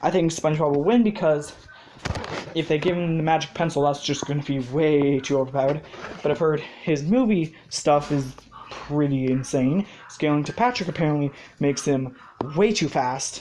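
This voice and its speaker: The speaker uses ordinary pitch variation at a moderate pace. Noticeable background noise runs underneath. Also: woman, very deep, low pitch for a woman. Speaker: video creator sharing fan ideas. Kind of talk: casual monologue. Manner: hesitant, many fillers.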